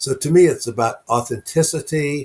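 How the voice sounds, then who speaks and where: On a very clean recording with a silent background, a man speaks at a fairly slow pace, somewhat breathy, with ordinary pitch variation. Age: 70s. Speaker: author and networking speaker. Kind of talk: interview conversation.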